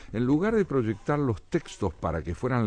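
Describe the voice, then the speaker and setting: His pitch moves in very wide swings. The speaker is a man. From Argentina. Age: 70s. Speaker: essayist and poet. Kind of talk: radio interview.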